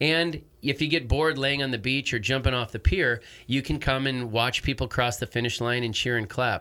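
A man's bright, sharp, medium-pitched voice with an American accent, at a fairly quick pace with ordinary pitch variation, in a very clean recording over a silent background. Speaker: triathlon race director. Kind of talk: casual chat. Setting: studio.

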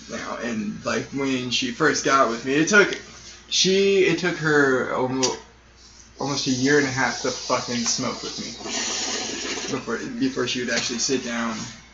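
A man with an American accent talks at a fairly slow pace, medium pitch and ordinary pitch variation. Noticeable background noise and audible room echo fill the recording. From Arizona (Sierra Vista). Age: 20s. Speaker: musician. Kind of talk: casual interview.

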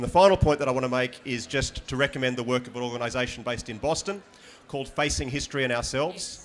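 Talking at a very fast pace, a man with an Australian accent uses a medium pitch and ordinary pitch variation. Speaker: high school history teacher. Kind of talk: panel discussion.

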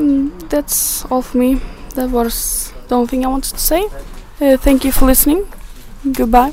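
A woman with a high-pitched voice speaks at a moderate pace, leaving long, frequent pauses, over noticeable background noise. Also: ordinary pitch variation. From northern Sweden. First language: Swedish. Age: 20s. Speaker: international student. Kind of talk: recorded monologue interview.

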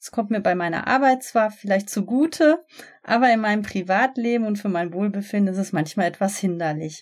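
A woman with an ordinary speaking voice talks at a fairly quick pace and a medium pitch with lively intonation, on a very clean recording with a silent background. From Germany, Ruhr area (Gelsenkirchen). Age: 30s. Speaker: podcast host, relaxation instructor. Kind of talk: podcast intro monologue.

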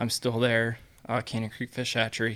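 On a very clean recording with a silent background, a man speaks with an American accent. His pitch is medium and his intonation monotone and flat. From Iowa, US Midwest. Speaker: fish hatchery worker. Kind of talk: casual chat.

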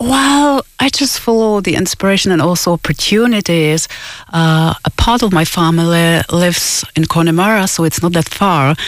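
Speaking at a moderate pace with a Czech accent, a woman has a fairly low voice, lively intonation and very even loudness. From Czech Republic. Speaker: musician. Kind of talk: radio interview. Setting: studio.

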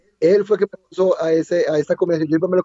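A man's high voice at a fairly quick pace. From Colombia. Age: 30s. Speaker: MMA fighter. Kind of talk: interview. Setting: lying in bed in his room. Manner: halting, repeats words.

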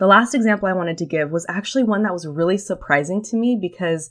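An unremarkable speaking voice from a woman, medium pitch, lively intonation, quiet background. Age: 20s. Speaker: podcast host, former history teacher.

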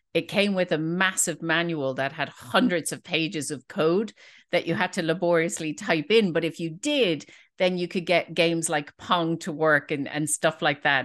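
A woman's fairly low voice in a Dublin accent, with fairly even intonation, a moderate pace, and a quiet background. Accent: Dublin Irish. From Ireland, Dublin. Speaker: database product manager. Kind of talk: casual interview chat.

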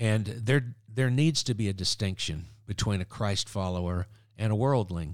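An animated tone at a moderate pace with ordinary pitch variation, on a very clean recording over a silent background. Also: man, fairly low pitch for a man. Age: 60s. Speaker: evangelist. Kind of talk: casual podcast interview. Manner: animated, humorous.

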